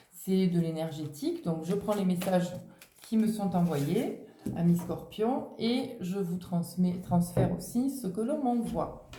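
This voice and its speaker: A woman's fairly low, somewhat breathy voice with a dark, mellow tone and audible room echo. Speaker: tarot and oracle card reader. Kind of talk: oracle card reading.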